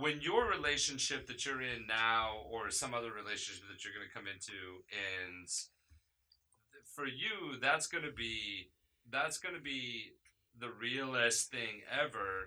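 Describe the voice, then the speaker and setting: Here a man talks at a fairly slow pace in a bright, sharp tone. His medium pitch shows ordinary variation. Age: 30s. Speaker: podcast host. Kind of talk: casual chat.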